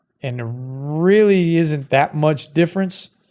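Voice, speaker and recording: On a very clean recording with a silent background, a man with a Brooklyn accent speaks at a moderate pace with ordinary pitch variation. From Brooklyn, New York. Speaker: streamer reviewing microphones. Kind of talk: casual product review to camera. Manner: conversational, filler-heavy.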